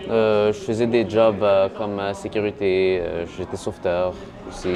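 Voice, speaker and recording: Over music in the background, a man with a fairly low pitch talks at a fairly slow pace in a monotone, flat intonation. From Montreal-North, Quebec. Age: 20s. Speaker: social media personality, accident survivor. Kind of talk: casual interview. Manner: hesitant, many fillers.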